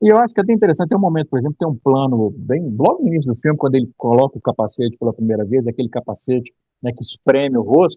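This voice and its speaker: A man with a medium-pitched, dark, mellow, somewhat breathy voice talks at a very fast pace with hardly any pauses. The sound is dry and close, with no echo. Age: 50s. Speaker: film critic. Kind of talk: casual chat.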